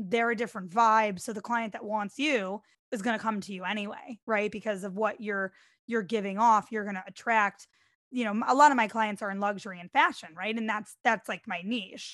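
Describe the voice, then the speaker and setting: A woman with an ordinary speaking voice, fairly high pitch, a fairly quick pace and big swings in loudness against a quiet background. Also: ordinary pitch variation. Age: 30s. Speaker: DJ and entrepreneur, reality TV contestant. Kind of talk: casual interview chat.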